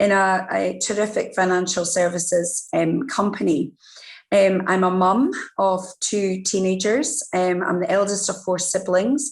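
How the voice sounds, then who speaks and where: A woman speaks with a Scottish accent at a medium pitch. Her pitch varies in an ordinary way and her loudness stays very even. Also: fairly slow pace. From Scotland. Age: middle-aged. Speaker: diversity and inclusion executive. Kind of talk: interview.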